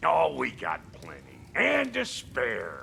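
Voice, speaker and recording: A man uses a put-on character voice that sounds raspy and moves at a fairly slow pace. Clear background noise runs underneath. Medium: video game. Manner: gruff, brash.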